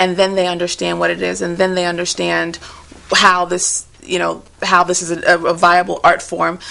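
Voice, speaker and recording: Over noticeable background noise, a woman talks at a moderate pace with a fairly low pitch and monotone, flat intonation. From Nigeria. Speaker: spoken word poet. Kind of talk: TV interview answer.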